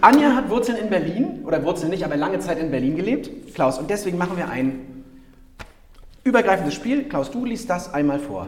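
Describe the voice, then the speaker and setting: Amid audible room echo and noticeable background noise, a man speaks in an animated tone at a fairly quick pace, his high pitch making very wide swings. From Rostock, northern Germany. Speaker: podcast host, inclusion advocate. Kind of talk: casual interview chat. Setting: town hall.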